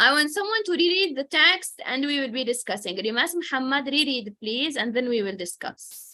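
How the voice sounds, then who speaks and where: In a raised, projected voice, a woman with an Arabic accent speaks at a moderate pace with a high pitch, a bright, sharp tone and very wide pitch swings. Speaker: English teacher. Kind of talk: online language class.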